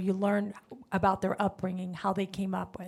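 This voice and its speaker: A woman speaks with a Spanish accent. Her pitch is medium and her pace moderate. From Honduras. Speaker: car dealership manager. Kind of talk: panel discussion. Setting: stage with audience.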